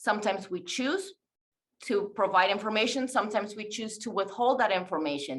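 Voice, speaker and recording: A woman's fairly high voice with a non-native accent and lively intonation. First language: not English. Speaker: teacher presenting a webinar. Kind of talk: webinar presentation.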